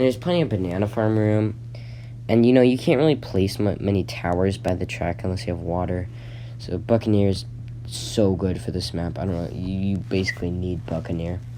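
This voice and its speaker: A man's very deep, low voice at a fairly quick pace, with very wide pitch swings, noticeable background noise and audible room echo. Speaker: gaming YouTuber. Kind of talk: casual commentary. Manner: halting, many fillers and restarts.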